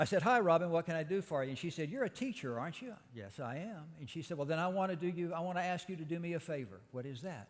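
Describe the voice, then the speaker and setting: Talking very fast with hardly any pauses, a man uses a high pitch and lively intonation, with a Southeast Texas accent. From Texas, Beaumont (Southeast Texas). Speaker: speaker at a church service. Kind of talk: sermon.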